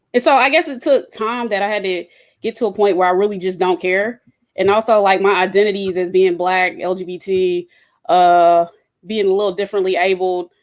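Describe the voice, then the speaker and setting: Someone with an Atlanta accent talks at a fairly quick pace with ordinary pitch variation on a very clean recording with a silent background. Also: woman, medium pitch for a woman. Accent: Southern (Atlanta). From Atlanta, US South. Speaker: engineer, roundtable guest. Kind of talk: casual roundtable discussion.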